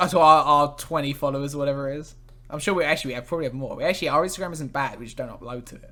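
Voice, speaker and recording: In a southern English accent, a man speaks at a fairly high pitch and a very fast pace. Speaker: podcast host. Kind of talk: casual chat.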